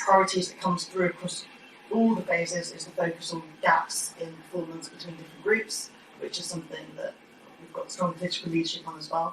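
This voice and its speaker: A woman with a fairly low pitch speaks with big swings in loudness over noticeable background noise. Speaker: cabinet member for education. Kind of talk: committee meeting report. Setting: council committee room. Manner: fast.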